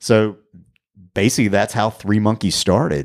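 In a very clean recording with a silent background, a man with an American accent speaks at a moderate pace in a plain, everyday voice, his pitch fairly low. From US South, Raleigh, North Carolina. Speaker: guitar tech. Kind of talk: casual interview chat.

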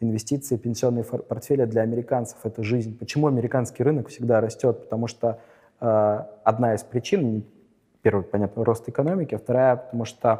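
The tone of this male speaker is dark and mellow. He keeps his intonation fairly even. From St Petersburg, Russia. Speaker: lawyer and investor. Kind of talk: interview.

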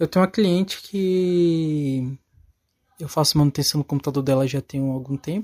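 At a moderate pace, the voice has a dark, mellow tone, is somewhat breathy, and shows ordinary pitch variation, with a dry, close sound and no echo. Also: man, fairly high pitch for a man. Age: 20s. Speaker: electronics technician. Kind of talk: recorded testimony.

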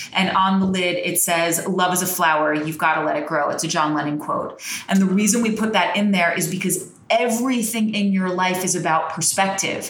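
With an American accent and an animated tone, the speaker talks at a fairly quick pace over noticeable background noise. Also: woman, medium pitch for a woman, ordinary pitch variation. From New Jersey. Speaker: crystal shop owner. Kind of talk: casual chat interview. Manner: talkative, animated.

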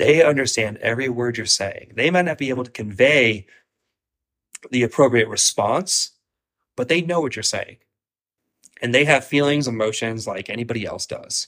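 A man speaks at a moderate pace and medium pitch, with ordinary pitch variation. He leaves long, frequent pauses. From Ohio, US Midwest. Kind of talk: casual chat.

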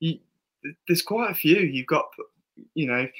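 A man is speaking. He has an English accent. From England. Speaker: football podcast co-host. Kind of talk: casual chat. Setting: studio with camera.

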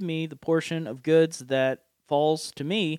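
Speaking with an Appalachian accent, a man uses a fairly high pitch. The recording is very clean and silent in the background, with a dry, close sound and no echo. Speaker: podcast host and preacher. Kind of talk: casual chat about scripture. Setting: studio. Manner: jovial, laughs often.

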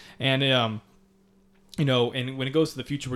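Monotone, flat delivery from a man at a fairly quick pace, in a very clean recording with a silent background. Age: 20s. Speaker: supplement company co-founder, podcast host. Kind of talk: casual chat.

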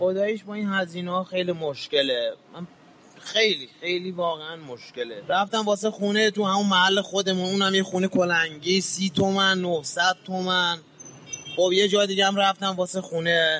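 Over noticeable background noise, a man projects a raised voice at a high pitch, keeping a moderate pace and fairly even intonation. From Iran, Mashhad. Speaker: street shoemaker. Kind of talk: interview testimony.

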